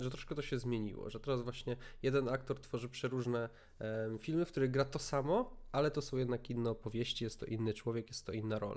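A man speaks at a very fast pace. His medium-pitched voice keeps fairly even intonation. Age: 20s. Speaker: podcast host. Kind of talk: casual chat.

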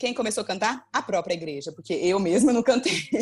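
In a plain, everyday voice, a woman talks at a fairly quick pace with lively intonation. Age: 20s. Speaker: pastor and teacher. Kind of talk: casual chat.

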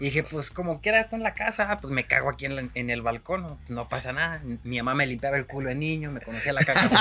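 Speaking with a Mexican accent at a very fast pace, the voice runs on with hardly any pauses over noticeable background noise. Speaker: podcast co-host. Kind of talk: casual chat over beers.

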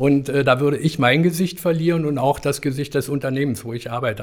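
This man races through his words at a very fast pace, his pitch varying in an ordinary way. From East Germany. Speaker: fashion retail professional. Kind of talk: interview. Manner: halting.

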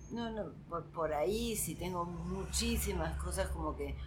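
Speech at a very slow pace comes through with audible room echo and noticeable background noise. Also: woman. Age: old. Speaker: stand-up comedian. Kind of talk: casual interview chat.

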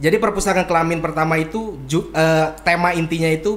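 A man speaks fairly quickly in a high voice, his pitch moving with ordinary variation. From Bandung, West Java, Indonesia. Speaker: author and bookseller. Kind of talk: casual interview. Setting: in person.

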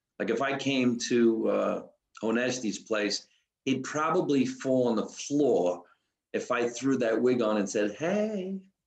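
A man talks at a fairly slow pace in a New Jersey accent. His intonation is lively while his loudness stays very even. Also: medium pitch for a man. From New Jersey, US. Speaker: comedian. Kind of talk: casual chat.

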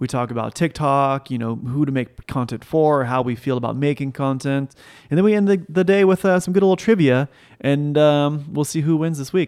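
This man has a plain, everyday voice, fairly high in pitch, moving at a fairly quick pace with ordinary pitch variation. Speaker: podcast co-host, son of S1. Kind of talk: casual chat. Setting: kitchen table, home.

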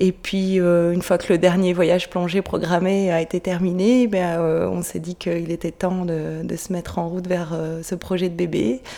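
A woman's fairly low, monotone voice with flat intonation, at a fairly slow pace with hardly any pauses. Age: 30s. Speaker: midwife. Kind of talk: interview.

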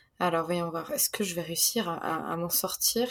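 A woman's voice with ordinary pitch variation. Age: 20s. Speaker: author. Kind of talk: casual chat.

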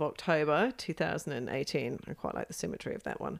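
Vocal fry runs through this woman's speech, which has ordinary pitch variation. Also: very clean recording, silent background. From England. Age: 50s. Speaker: adventurer. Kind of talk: casual interview.

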